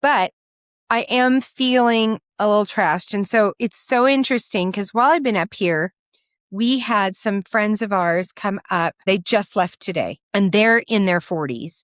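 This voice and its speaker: The recording is very clean and dry, a close sound with no echo against a silent background. A woman speaks at a medium pitch and a fairly slow pace, with ordinary pitch variation. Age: 60s. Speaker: podcast co-host. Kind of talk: casual chat.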